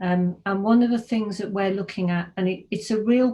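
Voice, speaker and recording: Speaking with an English accent, a woman has a dark, mellow tone, a somewhat breathy quality, medium pitch and fairly even intonation. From English Midlands, Birmingham. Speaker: technology consultant. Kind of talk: casual talk to students over a call. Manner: hesitant, many fillers.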